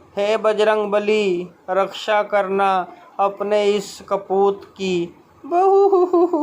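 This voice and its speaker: Noticeable background noise sits under a man's high-pitched voice. His pitch varies in an ordinary way. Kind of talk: comic audio narration with character voices. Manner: dramatic, suspenseful storytelling.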